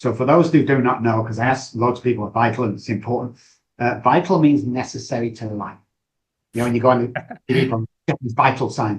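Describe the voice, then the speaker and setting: A man speaks fairly quickly with a Manchester accent, somewhat breathy. His pitch is medium with ordinary variation. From northern England, Manchester. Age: 60s. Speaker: addiction recovery expert. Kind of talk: podcast interview. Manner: animated.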